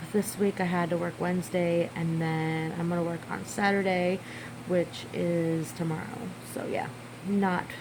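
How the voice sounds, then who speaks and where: Mumbling at a fairly slow pace, a woman with a fairly low pitch speaks in monotone, flat intonation amid noticeable background noise and audible room echo. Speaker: mom vlogger. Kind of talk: casual vlog talk. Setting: at home in living room. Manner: mumbling, rambling.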